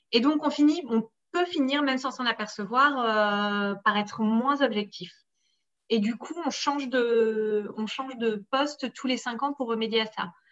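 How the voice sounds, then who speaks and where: A woman's normal speaking voice, fairly high in pitch with ordinary pitch variation, at a fairly slow pace over a quiet background. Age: 30s. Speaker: sports journalist. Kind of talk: interview.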